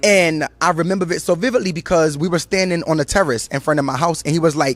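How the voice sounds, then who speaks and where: A man's fairly high voice, animated in tone, at a fairly quick pace. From New York City, Brooklyn. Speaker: choreographer and recording artist. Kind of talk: interview. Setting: on location. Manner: fast.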